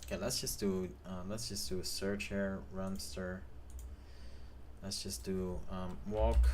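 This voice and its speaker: Mumbling at a very slow pace with long, frequent pauses, a man with a very deep, low pitch uses lively intonation amid audible room echo. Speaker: game developer streamer. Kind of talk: live stream tutorial. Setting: live stream. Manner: hesitant, many fillers.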